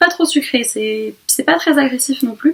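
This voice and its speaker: A woman talks at a moderate pace. Her pitch is high, with ordinary variation. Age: 20s. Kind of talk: casual talk to camera, beauty haul. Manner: hesitant, stammering.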